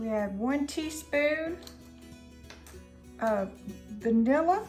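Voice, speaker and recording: With music in the background, a woman speaks in a Southern US accent at a very slow pace. Her high pitch carries lively intonation. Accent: Southern American. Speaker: home cook. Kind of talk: cooking tutorial to camera. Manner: casual, friendly.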